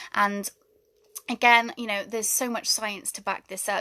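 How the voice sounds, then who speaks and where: A woman with a British accent speaks in a bright, sharp tone with flat, monotone intonation. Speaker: spiritual wellness coach. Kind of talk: livestream talk. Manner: fast.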